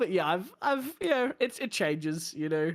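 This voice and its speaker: A man with an Australian accent at a fairly quick pace, lively intonation, on a very clean recording with a silent background. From Australia, Bathurst. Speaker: sim racing streamer. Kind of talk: casual chat.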